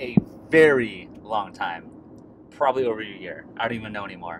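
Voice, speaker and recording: Over noticeable background noise, a man's voice makes very wide pitch swings in a dry sound with no echo. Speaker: beer vlogger. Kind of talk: casual vlog chat. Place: car. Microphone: phone near.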